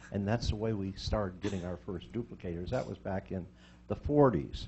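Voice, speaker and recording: A man talks at a fairly quick pace with ordinary pitch variation. His voice is somewhat breathy. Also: fairly low pitch for a man. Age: 80s+. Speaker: retired educator speaking at public meeting. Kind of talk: public comment at school board meeting. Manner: conversational, anecdotal.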